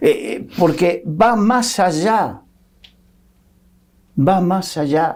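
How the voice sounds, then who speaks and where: Speaking at a very slow pace with long, frequent pauses, a man talks in a high pitch. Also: ordinary pitch variation. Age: 60s. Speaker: Bible teacher. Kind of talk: Bible discussion.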